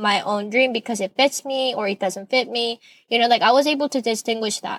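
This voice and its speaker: With a Korean accent, a woman talks at a fairly quick pace in fairly even intonation, recorded dry and close with no echo. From South Korea. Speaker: podcast host. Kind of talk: personal monologue.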